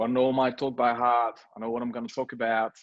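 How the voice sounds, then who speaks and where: A man with a slight French accent speaks at a moderate pace against a quiet background. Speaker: startup co-founder. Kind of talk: interview. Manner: halting, many fillers and repeats.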